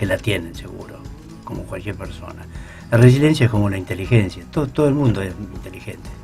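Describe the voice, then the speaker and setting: Over music in the background, a man talks in a fairly low pitch. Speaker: psychologist, radio guest expert on resilience. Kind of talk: radio interview answer, explanatory talk.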